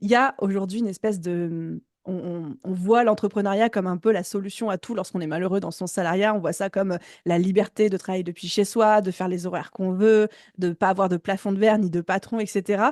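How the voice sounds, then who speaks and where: Against a quiet background, a woman talks at a fairly quick pace with a medium pitch and fairly even intonation. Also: dry, close sound with no echo. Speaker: business coach and podcast host. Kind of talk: interview conversation. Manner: fast.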